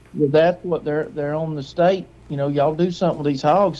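Here a man talks at a fairly quick pace with an Alabama accent. His pitch is fairly high for a man, and his intonation stays fairly even. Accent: Southern US (Alabama). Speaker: hunter. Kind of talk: casual chat.

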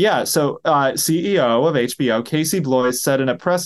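An unremarkable speaking voice with ordinary pitch variation moves at a fairly slow pace over a quiet background. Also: man. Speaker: podcast host. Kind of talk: casual chat. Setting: at home, video stream.

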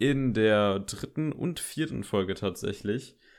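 A man with an ordinary speaking voice talks at a moderate pace in a fairly low pitch with ordinary pitch variation. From Germany, Koblenz area. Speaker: film podcast host. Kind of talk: casual chat. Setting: home, bedroom.

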